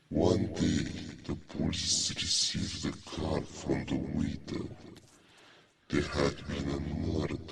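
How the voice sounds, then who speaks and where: A put-on character voice at a fairly slow pace, with audible echo. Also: man, very deep, low pitch for a man. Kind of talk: horror narration. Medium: read story. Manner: slow, suspenseful.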